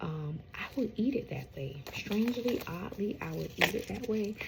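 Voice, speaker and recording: Noticeable background noise around a woman's moderate pace. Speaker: home gardener, channel host. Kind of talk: casual vlog talk. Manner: hesitant, many fillers.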